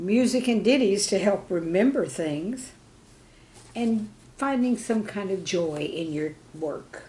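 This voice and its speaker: A woman at medium pitch speaks at a very slow pace with long, frequent pauses. Her somewhat breathy voice has a dark, mellow tone and lively intonation. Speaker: retired teacher. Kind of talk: humor piece read aloud, storytelling about classroom life.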